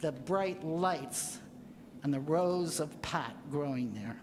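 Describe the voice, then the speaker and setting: There is audible room echo around this woman's voice. She speaks at a fairly low pitch with lively intonation. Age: 70s. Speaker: resident speaking at public comment. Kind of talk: public comment at council meeting. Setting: city council meeting.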